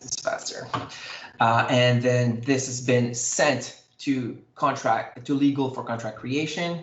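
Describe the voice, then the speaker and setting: A man talks at a fairly slow pace with medium pitch and fairly even intonation. Audible room echo surrounds the voice. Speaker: software demo presenter. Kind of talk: live software demo tutorial.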